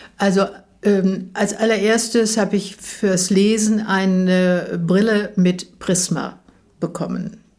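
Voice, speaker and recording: A woman speaks at a very slow pace and medium pitch in monotone, flat intonation. Her loudness stays very even. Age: 80s+. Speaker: interviewee with macular degeneration. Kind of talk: interview. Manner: hesitant, many fillers.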